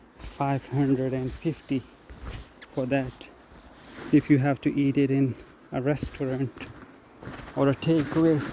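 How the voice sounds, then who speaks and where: Over noticeable background noise, a man with a fairly high pitch speaks fairly slowly in a monotone, flat intonation, leaving long, frequent pauses. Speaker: vlogger. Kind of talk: casual vlog monologue. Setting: outdoors, walking in forest. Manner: conversational, hesitant.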